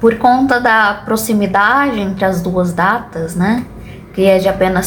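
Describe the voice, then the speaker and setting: A woman speaks with ordinary pitch variation. The room echo is audible, and there is noticeable background noise. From Brazil, Goiânia (Goiás). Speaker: booktuber. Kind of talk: casual vlog monologue.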